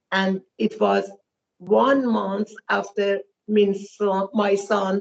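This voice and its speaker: A woman is speaking. Her pace is very slow. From Iran. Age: 70s. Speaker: relative of a detained man. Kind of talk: interview testimony. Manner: halting.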